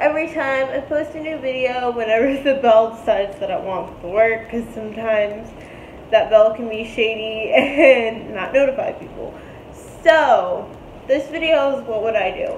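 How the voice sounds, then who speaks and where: Her pitch is high, with ordinary variation, at a moderate pace and big swings in loudness. The woman's recording carries audible room echo and light background noise. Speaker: vlogger. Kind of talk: casual vlog chat. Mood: cheerful, laughing often. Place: home room. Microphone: phone near.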